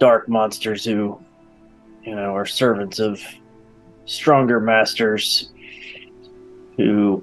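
A man's put-on character voice at medium pitch, very slow pace and long, frequent pauses, with faint music in the background. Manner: gruff, boastful, casual.

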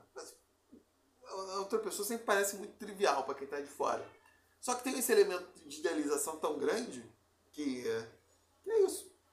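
A man at a moderate pace, with long, frequent pauses, big swings in loudness and audible room echo. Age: 30s. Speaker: podcast co-host. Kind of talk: casual chat.

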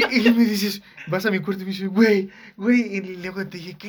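A man speaks with a Mexican accent. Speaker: communication student. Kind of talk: casual chat.

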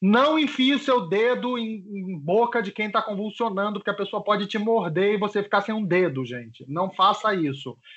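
With lively intonation and hardly any pauses, a man talks at a fairly quick pace in a high-pitched voice. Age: 30s. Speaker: early internet personality with epilepsy. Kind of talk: casual chat. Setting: Skype call.

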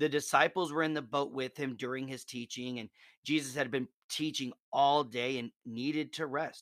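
Speaking with a Midwestern American accent, a man uses a fairly high pitch, a moderate pace and ordinary pitch variation in a dry, close sound with no echo on a very clean recording with a silent background. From Nebraska. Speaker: podcast host giving Bible reflections. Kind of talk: devotional talk.

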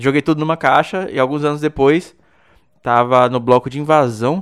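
Heard on a very clean recording with a silent background, a man talks in a plain, everyday voice at a moderate pace with ordinary pitch variation. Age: 30s. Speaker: podcast host, card game player. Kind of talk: interview, casual chat.

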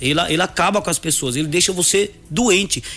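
With music in the background, a man speaks at a high pitch and a fairly quick pace, using ordinary pitch variation. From Brazil, Northeast (Coité do Nóia, Alagoas). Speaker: personal trainer and gym owner. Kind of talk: radio interview.

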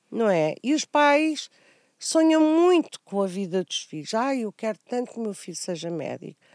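The sound is dry and close, with no echo. A woman speaks at a fairly slow pace with very wide pitch swings. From northern Mozambique. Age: 60s. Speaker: businesswoman, host's mother. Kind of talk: casual interview conversation.

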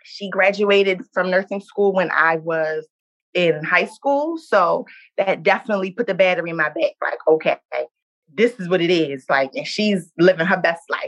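A woman talks at a moderate pace with a medium pitch, ordinary pitch variation and an unremarkable speaking voice. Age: 20s. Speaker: nursing student and small business owner. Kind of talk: interview.

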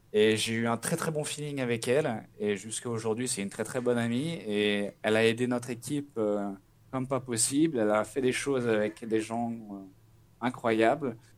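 A man of medium pitch keeps a moderate pace and fairly even intonation on a very clean recording with a silent background. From western France (Nantes). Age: 20s. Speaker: esports player and streamer. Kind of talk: interview. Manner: halting.

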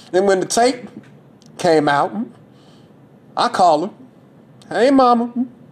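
A man's high-pitched, animated voice with lively intonation, very even loudness, a fairly slow pace and long, frequent pauses, over noticeable background noise. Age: 30s. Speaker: podcaster. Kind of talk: solo podcast monologue, casual commentary. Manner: animated, casual, profane.

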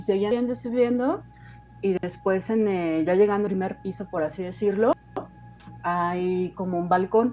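A woman talks at a moderate pace and medium pitch with ordinary pitch variation, with noticeable background noise behind her. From Mexico, Guanajuato city. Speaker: guest telling paranormal stories. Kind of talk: personal storytelling on a podcast.

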